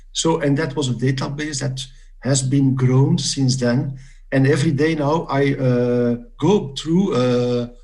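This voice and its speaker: At a fairly slow pace, the voice has a dark, mellow tone and fairly even intonation, with audible room echo. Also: man, fairly high pitch for a man. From Belgium. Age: 60s. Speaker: quiz competitor. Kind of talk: interview. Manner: halting, many fillers.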